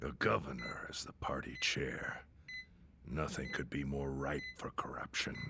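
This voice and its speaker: Putting on a raspy character voice, a man speaks at a moderate pace with a very deep, low pitch and monotone, flat intonation, clear background noise behind him. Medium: video game. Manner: dry, stern, dignified.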